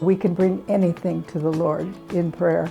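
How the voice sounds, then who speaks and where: Music plays in the background as a woman speaks at a medium pitch and a fairly slow pace. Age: 80s+. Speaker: churchgoer giving faith testimony. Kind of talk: interview answer.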